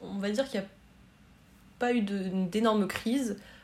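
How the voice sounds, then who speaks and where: A somewhat breathy voice speaks at a fairly slow pace. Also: woman. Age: 20s. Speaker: student sharing eating disorder experience. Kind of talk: testimony. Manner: halting.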